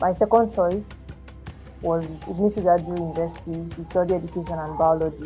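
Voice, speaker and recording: Soft-spoken and fairly low-pitched, a woman talks at a fairly quick pace with fairly even intonation while music plays in the background. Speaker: educator. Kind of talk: podcast interview answer.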